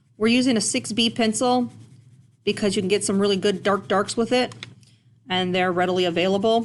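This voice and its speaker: At a fairly quick pace but with long, frequent pauses, a woman speaks at a medium pitch with vocal fry, ordinary pitch variation and very even loudness. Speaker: art teacher. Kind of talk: tutorial. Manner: casual.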